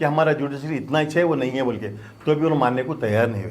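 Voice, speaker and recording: Audible room echo surrounds this man. His pitch varies in an ordinary way. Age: 70s. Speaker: doctor and former mosque committee president. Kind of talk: press conference statement. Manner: halting, repetitive.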